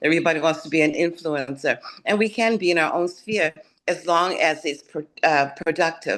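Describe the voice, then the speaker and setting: A woman with a fairly low pitch talks at a moderate pace with ordinary pitch variation in a plain, everyday voice. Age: 60s. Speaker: retired corporate professional, forum panelist. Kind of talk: panel discussion. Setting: video call.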